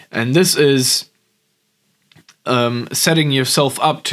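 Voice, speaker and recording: At a very slow pace, a man with a German accent talks in a fairly high pitch. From Germany. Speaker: business coach. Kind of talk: vlog monologue. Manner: hesitant, many fillers.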